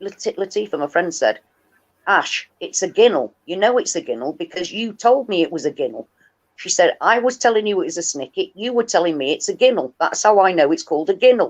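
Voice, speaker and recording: This voice moves at a fairly quick pace with very wide pitch swings. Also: woman, medium pitch for a woman. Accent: northern English. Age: 50s. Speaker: livestream host and activist. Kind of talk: casual chat. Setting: livestream.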